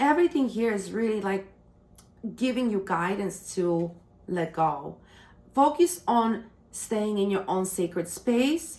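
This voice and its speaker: A woman's medium-pitched voice with a non-native accent, at a very slow pace with ordinary pitch variation. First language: not English. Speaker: tarot reader. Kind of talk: tarot reading monologue. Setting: on camera. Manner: halting.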